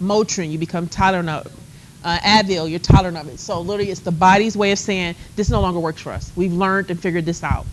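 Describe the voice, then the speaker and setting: Over noticeable background noise, a woman with a fairly low pitch talks at a very fast pace, her loudness swinging widely. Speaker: college instructor. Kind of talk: lecture. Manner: animated.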